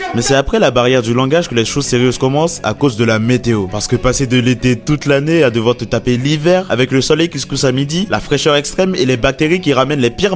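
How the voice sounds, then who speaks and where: The speaker talks at a very fast pace with hardly any pauses, in an animated tone with lively intonation. Music plays in the background. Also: man. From Benin. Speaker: animation YouTuber. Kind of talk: comedic storytelling narration.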